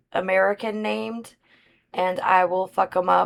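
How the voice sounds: A woman in a Southern US accent, medium in pitch, at a fairly slow pace with fairly even intonation.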